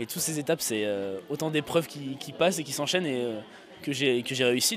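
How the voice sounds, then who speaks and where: Lively intonation from a man at a fairly quick pace, over noticeable background noise. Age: 20s. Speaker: stand-up comedian. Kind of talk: interview. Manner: hesitant, many euhs.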